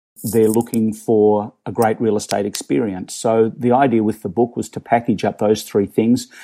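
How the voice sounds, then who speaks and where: A man with an Australian accent, a fairly low pitch, a dark, mellow tone and fairly even intonation at a moderate pace, in a very clean recording with a silent background. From Australia, Melbourne. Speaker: real estate agent and startup co-founder. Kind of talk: interview.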